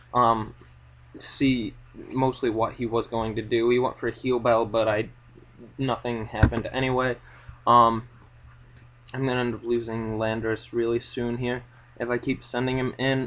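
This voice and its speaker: A shaky, monotone man's voice at medium pitch, flat in intonation, broken by long, frequent pauses. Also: moderate pace. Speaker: Pokemon battle commentator. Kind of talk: live gameplay commentary. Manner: shaky, unsteady.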